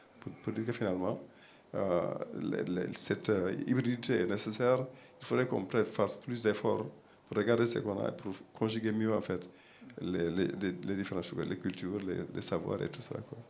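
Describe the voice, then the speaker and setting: A man with a Senegalese accent, fairly low in pitch, at a moderate pace with long, frequent pauses, in audible room echo. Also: ordinary pitch variation. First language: Pulaar (speaking French). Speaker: panel guest, academic. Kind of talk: panel discussion. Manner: halting, many repetitions and fillers.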